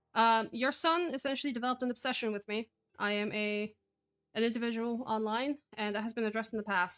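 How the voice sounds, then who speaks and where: In a Polish accent, a woman talks at a fairly quick pace in a bright, sharp tone, her pitch fairly high with ordinary variation. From Poland. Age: 20s. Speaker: artist in online call. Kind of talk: heated call confrontation. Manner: formal; hesitant with fillers.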